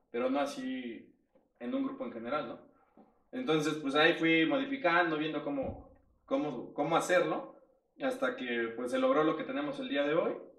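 With audible room echo, a man speaks at a fairly high pitch that swings very widely. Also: moderate pace. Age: 30s. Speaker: life coach. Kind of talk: casual chat.

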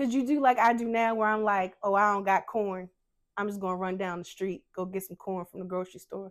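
Using a normal speaking voice, a woman at medium pitch talks at a fairly quick pace with fairly even intonation. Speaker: podcast host. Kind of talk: interview. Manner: warm.

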